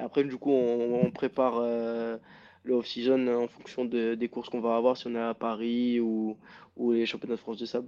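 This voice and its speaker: A man's dark, mellow voice at medium pitch, monotone and flat, at a moderate pace. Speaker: motocross rider. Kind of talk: interview.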